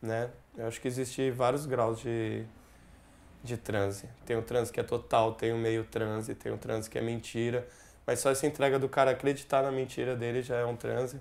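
The speaker is a man with a medium-pitched voice. He delivers everything in a flat monotone. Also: moderate pace. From Brazil. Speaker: musician; interviewee. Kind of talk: interview. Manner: halting.

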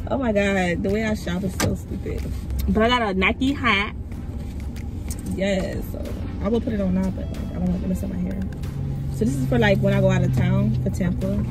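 The speech moves at a moderate pace. The sound is dry with no echo, over loud background noise. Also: woman. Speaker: vlogger. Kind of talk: casual vlog chat. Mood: upbeat, playful. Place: car.

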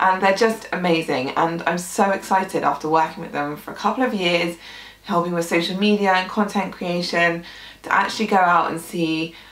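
In a room with audible echo, a woman speaks at a fairly low pitch with ordinary pitch variation. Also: moderate pace. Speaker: gluten-free food blogger. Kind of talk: casual vlog chat. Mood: warm, slightly emotional. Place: home room.

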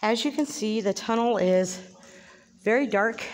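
A woman's voice at a moderate pace with ordinary pitch variation. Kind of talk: casual narrated tour. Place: tunnel cave. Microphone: phone near.

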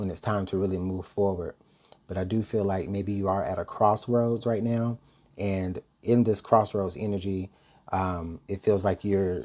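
A man's voice has a dark, mellow tone and fairly even intonation. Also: moderate pace. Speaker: tarot reader. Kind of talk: tarot reading commentary. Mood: calm, thoughtful. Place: home room. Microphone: earbuds.

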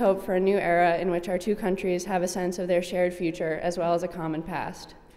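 A woman talks with an American accent. She speaks very fast. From US. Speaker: speaker at event. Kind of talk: formal speech. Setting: stage with audience. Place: hall. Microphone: podium.

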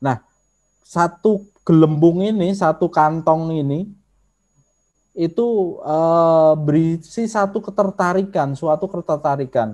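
In a Javanese accent, a man speaks at a high pitch and a very slow pace, with a dark, mellow tone and long, frequent pauses over a quiet background. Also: ordinary pitch variation. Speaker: social media trainer; presenter. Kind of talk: online workshop lecture. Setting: video call. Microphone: video call.

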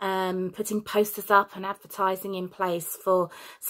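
The words come out as reading aloud in a natural voice.

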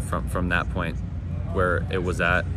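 A man at a moderate pace, with loud background noise and a dry sound with no echo. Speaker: college football linebacker. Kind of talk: media day interview. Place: stadium.

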